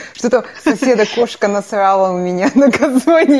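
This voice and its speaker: A woman speaks at a moderate pace with a fairly high pitch and ordinary pitch variation, over noticeable background noise. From Kazakhstan. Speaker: podcast co-host. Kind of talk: casual chat.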